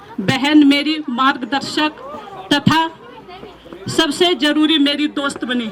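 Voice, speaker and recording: A woman speaks in a high voice. She leaves long, frequent pauses, with crowd noise in the background. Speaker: school teacher. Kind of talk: farewell speech. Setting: school retirement ceremony.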